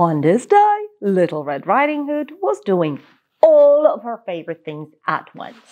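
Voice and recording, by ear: At a medium pitch and a fairly slow pace, a woman speaks with big pitch swings and a slightly mellow tone.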